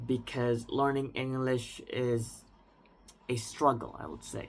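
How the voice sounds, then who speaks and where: In an Indonesian accent, the speaker goes at a fairly slow pace with flat, monotone intonation. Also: man. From Indonesia, central Jakarta. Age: 20s. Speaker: language learner vlogger. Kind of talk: personal reflection monologue. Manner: unscripted, with some hesitation.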